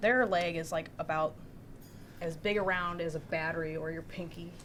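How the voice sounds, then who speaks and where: This soft-spoken woman talks at a fairly low pitch. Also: ordinary pitch variation, moderate pace. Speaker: new employee. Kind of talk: casual chat.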